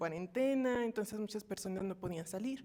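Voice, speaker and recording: A woman speaks at a fairly high pitch. Her voice is soft-spoken. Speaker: course participant. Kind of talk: class discussion comment.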